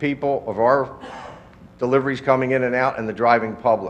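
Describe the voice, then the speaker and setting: A man's medium-pitched, monotone and flat delivery in an American accent, with noticeable background noise. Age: 60s. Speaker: nursery owner addressing a township board. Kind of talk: public comment at a municipal meeting. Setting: township board meeting room.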